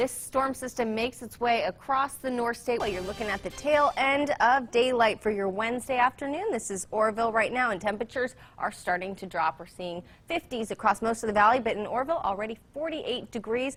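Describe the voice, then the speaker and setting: A woman's plain, everyday voice, fairly high in pitch, at a fairly quick pace with hardly any pauses. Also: ordinary pitch variation. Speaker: TV news reporter, anchor and weather presenter. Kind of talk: TV weather forecast presentation.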